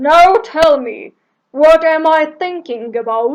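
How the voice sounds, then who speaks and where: A woman speaks in a put-on character voice at an extremely high pitch. She goes very slowly with lively intonation. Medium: read story.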